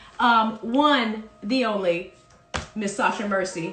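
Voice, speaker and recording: A woman talks with ordinary pitch variation while noticeable background noise carries on behind her. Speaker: parody news anchor. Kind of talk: casual comedic parody news talk.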